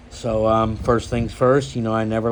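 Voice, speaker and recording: There is noticeable background noise as a man of medium pitch talks at a moderate pace with fairly even intonation. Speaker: knife collector YouTuber. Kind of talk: casual show-and-tell vlog. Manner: hesitant, many fillers.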